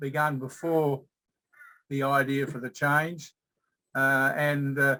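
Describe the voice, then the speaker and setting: A man with an Australian accent talks at a fairly slow pace, his fairly high pitch carrying a bright, sharp tone. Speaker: change management consultant presenting a case study. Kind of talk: workshop presentation. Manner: halting, many fillers.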